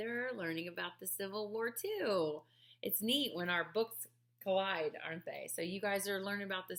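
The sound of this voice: Here an unforced reading voice reads with ordinary pitch variation.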